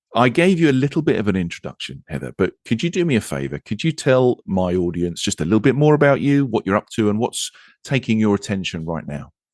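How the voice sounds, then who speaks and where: With an English accent, a man races along at a very fast pace with hardly any pauses and very wide pitch swings, in a dry, close sound with no echo. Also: medium pitch for a man, quiet background. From England. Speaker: podcast host. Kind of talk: podcast interview.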